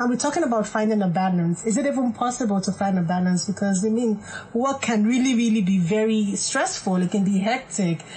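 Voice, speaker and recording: A woman with an unremarkable speaking voice talks at a fairly quick pace and a fairly high pitch, with ordinary pitch variation, hardly any pauses and very even loudness. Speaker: clinical psychologist. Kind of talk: radio talk show. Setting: studio. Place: studio.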